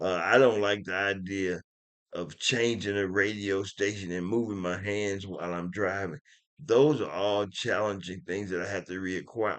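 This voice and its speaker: A mumbling man at a moderate pace, fairly low in pitch, with fairly even intonation. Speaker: stroke survivor vlogger. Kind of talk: casual vlog monologue. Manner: mumbling, low volume; halting, with restarts.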